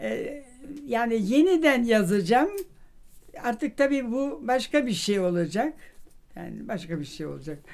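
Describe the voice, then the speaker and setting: A woman with a fairly high pitch talks at a fairly slow pace, her pitch swinging very widely and her loudness rising and falling sharply, with long, frequent pauses. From Vienna. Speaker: social scientist and professor. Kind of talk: interview answer. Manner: hesitant, many fillers. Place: home room.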